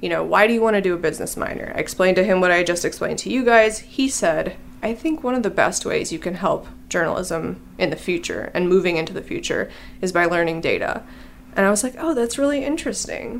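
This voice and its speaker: A woman with an American accent speaks very fast, with lively intonation and vocal fry. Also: medium pitch for a woman. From Illinois. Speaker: data reporter. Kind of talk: casual interview.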